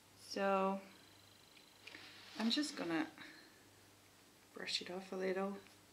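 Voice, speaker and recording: A woman at medium pitch speaks at a fairly slow pace with lively intonation and long, frequent pauses, and audible room echo surrounds her. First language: not English. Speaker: beauty vlogger. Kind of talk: casual chat. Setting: at home.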